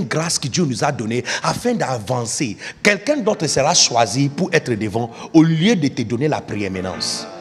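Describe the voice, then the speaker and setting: A man talks fairly slowly, his pitch swinging very widely, while noticeable noise sits in the background. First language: not French (speaking French). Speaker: pastor. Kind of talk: sermon. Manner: emphatic, repetitive.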